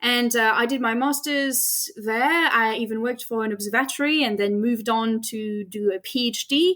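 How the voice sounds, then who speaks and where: Over noticeable background noise, the voice moves at a moderate pace with ordinary pitch variation. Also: woman. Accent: slight French. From France. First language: French. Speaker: astrophysicist. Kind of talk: interview.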